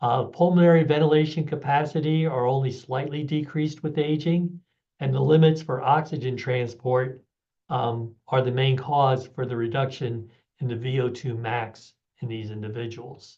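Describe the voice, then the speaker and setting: Somewhat breathy and dark, mellow in tone, a man speaks at a medium pitch and a moderate pace with fairly even intonation. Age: 70s. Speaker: physiology professor. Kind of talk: lecture.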